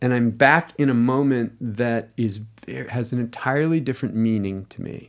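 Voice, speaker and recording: A man speaks in a normal speaking voice at a medium pitch. His intonation is fairly even and his pace moderate. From US. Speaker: screenwriter. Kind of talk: interview.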